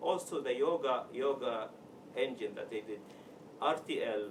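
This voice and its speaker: A man speaks in an Arabic accent. Noticeable background noise runs behind him. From Sudan. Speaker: software developer, meetup speaker. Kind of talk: tech talk. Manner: halting.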